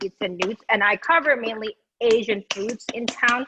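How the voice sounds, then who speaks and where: This woman speaks at a high pitch with ordinary pitch variation, and the sound is dry and close with no echo. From Indonesia, then Singapore. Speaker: food blogger, hot sauce judge. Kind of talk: casual interview chat. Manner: halting, many fillers.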